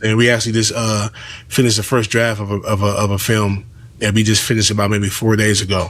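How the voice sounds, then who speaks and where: In an American accent, a man with a fairly low pitch talks very fast in a monotone, flat intonation. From Los Angeles, South Central. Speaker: comedian and filmmaker. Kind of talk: podcast interview.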